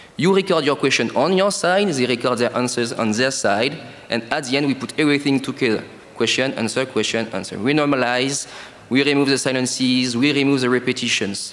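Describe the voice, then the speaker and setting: Despite noticeable background noise, a man with a French accent speaks at a fairly quick pace and medium pitch, with ordinary pitch variation and very even loudness. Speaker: startup co-founder. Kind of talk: sales pitch.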